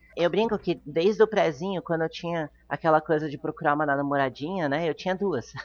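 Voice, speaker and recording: A woman with an ordinary speaking voice, fairly low pitch, ordinary pitch variation, a fairly quick pace and hardly any pauses. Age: 30s. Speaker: non-monogamy influencer. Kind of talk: interview.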